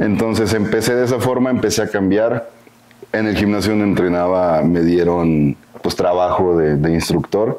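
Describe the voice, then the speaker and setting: A man speaks at a moderate pace with fairly low pitch and ordinary pitch variation. His loudness stays very even over noticeable background noise. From northern Mexico, Coahuila. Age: 20s. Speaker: bodybuilding coach. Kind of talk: interview.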